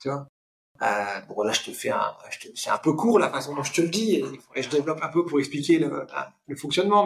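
A man speaks at a fairly quick pace. His voice is fairly high, with ordinary pitch variation. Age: 50s. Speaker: public speaking coach and trainer. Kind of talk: casual interview.

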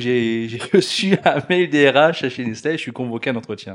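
A man talks in an ordinary speaking voice at medium pitch and a fairly slow pace. His intonation is lively, and the background is quiet. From Alsace, France. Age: 40s. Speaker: business executive. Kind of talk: interview.

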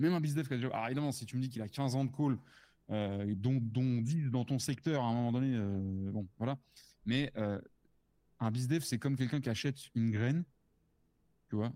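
Long pauses come often as a man speaks at a moderate pace with a medium pitch. His tone is dark and mellow, with ordinary pitch variation. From France. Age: 30s. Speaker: sales prospecting consultant. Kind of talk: casual interview. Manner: casual, halting with repetitions.

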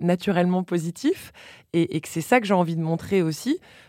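A woman in a normal speaking voice, fairly low in pitch with ordinary pitch variation, dry and close with no echo, in a very clean recording with a silent background. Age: 30s. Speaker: journalist and podcast host. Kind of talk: casual chat. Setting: studio.

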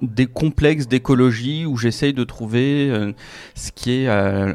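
Very slowly and with fairly even intonation, a man speaks at medium pitch. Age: 30s. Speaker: author and climate blogger. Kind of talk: interview. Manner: hesitant with many fillers.

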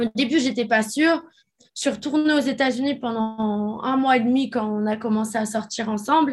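Against a quiet background, a woman with a high pitch speaks at a moderate pace with ordinary pitch variation. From France. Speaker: reality TV personality. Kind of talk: testimony. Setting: remote recording.

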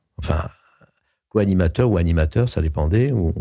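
Very deep and low in pitch, this man's voice has a dark, mellow tone, somewhat breathy, with ordinary pitch variation at a fairly quick pace. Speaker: voice actor and opera singer. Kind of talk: casual chat. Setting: studio. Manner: halting, repeats words.

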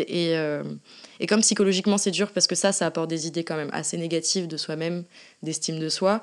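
A woman speaks at a moderate pace in a fairly low pitch, with ordinary pitch variation against a quiet background. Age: 20s. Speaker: endometriosis patient sharing her story; artist. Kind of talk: testimony. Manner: hesitant, many fillers.

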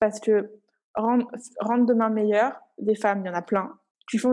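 The tone is dark and mellow, with monotone, flat intonation. The pace is fairly quick. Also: woman. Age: 20s. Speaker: founder of a motherhood support group platform. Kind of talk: casual chat.

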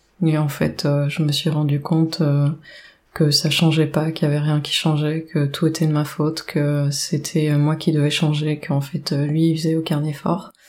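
Her very deep, low voice stays monotone and flat as the woman talks at a fairly slow pace. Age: 40s. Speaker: domestic violence survivor. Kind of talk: testimony. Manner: halting.

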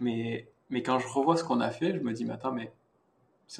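Very fast-paced male speech with ordinary pitch variation. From southern France, rural. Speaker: VFX artist. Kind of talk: casual interview.

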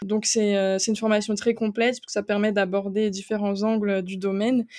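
Her tone is dark and mellow, with monotone, flat intonation at medium pitch. The woman's sound is dry and close with no echo, over a quiet background. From eastern France. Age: 20s. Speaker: growth marketer. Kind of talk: interview.

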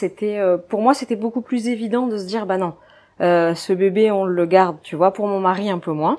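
In a very clean recording with a silent background, a woman of medium pitch talks at a moderate pace with ordinary pitch variation. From northern France, Dunkirk. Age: 20s. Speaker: physiotherapist and mother. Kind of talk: personal testimony interview. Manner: casual, hesitant with fillers.

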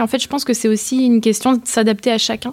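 A woman's fairly high-pitched voice with a dark, mellow tone, at a fairly quick pace. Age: 20s. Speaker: startup founder. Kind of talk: interview.

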